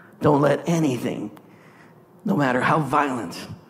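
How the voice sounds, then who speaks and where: A man with a fairly high pitch and ordinary pitch variation talks at a fairly slow pace over noticeable background noise. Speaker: preacher. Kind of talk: sermon. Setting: church with live congregation. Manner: animated, exhorting, call-and-response; emphatic, rhythmic, preaching in full flow.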